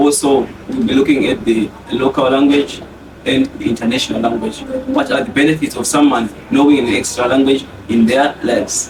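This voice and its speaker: Speaking with a Zimbabwean accent, a man talks at a fairly quick pace in a fairly high pitch with ordinary pitch variation. Noticeable background noise is present. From Zimbabwe, Zvishavani. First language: Shona. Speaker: podcast guest. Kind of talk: casual chat.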